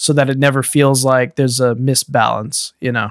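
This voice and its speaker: A man talks at a fairly quick pace in a plain, everyday voice of medium pitch. The recording is very clean and dry, close with no echo and a silent background. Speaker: podcast host. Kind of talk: casual chat about gaming news.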